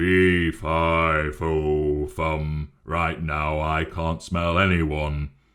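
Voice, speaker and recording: Putting on a character voice, a man rumbles in a very deep, low, monotone register at a very slow pace with hardly any pauses. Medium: read story.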